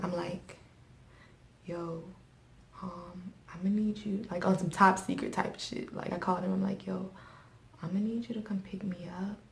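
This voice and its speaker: A woman's medium-pitched, flat, monotone voice at a moderate pace, with long, frequent pauses and noticeable background noise. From US, West Indian household. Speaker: YouTuber. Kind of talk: storytelling.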